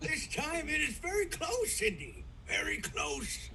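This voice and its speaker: Someone uses a put-on character voice at a fairly slow pace. Clear background noise is audible. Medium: stage play. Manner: broken, clipped English.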